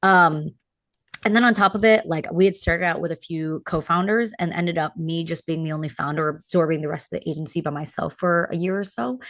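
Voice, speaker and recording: Against a quiet background, a woman speaks at a fairly quick pace in a fairly low pitch, with ordinary pitch variation. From New York. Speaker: talent manager and founder. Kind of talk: casual chat. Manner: fast.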